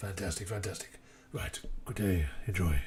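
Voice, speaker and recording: Using a put-on character voice that is raspy and fairly low, a man speaks at a moderate pace with clear background noise. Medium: actual play. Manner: brisk, polite.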